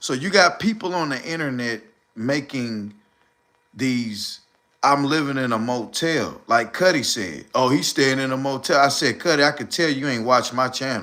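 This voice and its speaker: With ordinary pitch variation, a man's voice comes through in a bright, sharp tone. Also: medium pitch for a man, moderate pace. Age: 40s. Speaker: live streamer. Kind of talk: casual livestream monologue. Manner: animated.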